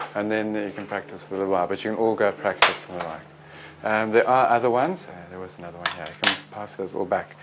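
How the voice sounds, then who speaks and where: With noticeable background noise, a man speaks with ordinary pitch variation. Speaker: medical teacher. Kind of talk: lecture. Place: classroom.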